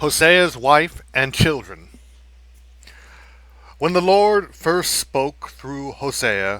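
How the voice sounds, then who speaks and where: In a very clean recording with a silent background, a man with a fairly high pitch and a bright, sharp tone speaks at a very slow pace, using lively intonation and long, frequent pauses. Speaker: amateur Bible reader. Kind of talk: scripture reading. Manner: unpolished, live.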